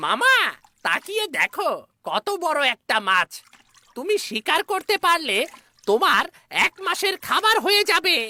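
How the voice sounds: A cartoonish character voice sits at an extremely high pitch with very wide pitch swings. It moves at a very slow pace.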